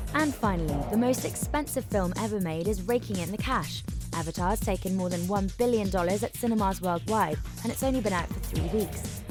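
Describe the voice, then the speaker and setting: A woman with a British accent at a fairly quick pace, music in the background. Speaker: radio news presenter. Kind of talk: radio news bulletin read.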